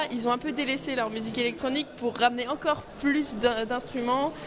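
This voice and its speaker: A woman's high voice comes through noticeable background noise. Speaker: student radio host. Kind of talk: casual chat. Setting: studio.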